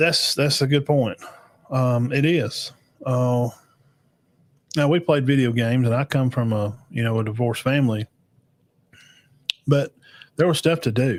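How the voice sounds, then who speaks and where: The speech moves at a moderate pace with ordinary pitch variation, very even loudness, and long, frequent pauses. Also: man, medium pitch for a man. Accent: Alabama. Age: 40s. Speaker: podcast host reacting to videos. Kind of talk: live reaction show, casual chat with chat comments. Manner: casual, halting with many fillers.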